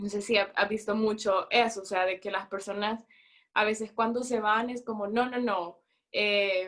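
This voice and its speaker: Here a woman talks at a fairly slow pace with a fairly high pitch. Her intonation is monotone and flat. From El Salvador. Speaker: student abroad. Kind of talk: casual chat.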